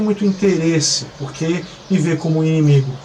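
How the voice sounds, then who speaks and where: Noticeable background noise under speech with ordinary pitch variation. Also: man. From Brazil. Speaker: missionary pastor. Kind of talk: testimony. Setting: apartment balcony. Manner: halting with many fillers.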